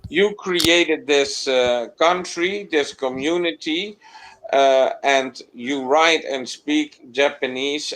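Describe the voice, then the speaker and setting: This man's pitch is fairly high, with ordinary variation. He speaks at a very slow pace. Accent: Dutch. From Netherlands. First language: Dutch. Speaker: live stream host. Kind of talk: casual chat.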